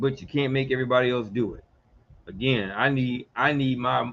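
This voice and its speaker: An animated, medium-pitched male voice with an American accent. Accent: Geechee, Southern. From US South, Georgia and Mississippi. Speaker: radio talk show host and legal consultant. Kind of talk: live radio talk show monologue. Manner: fast.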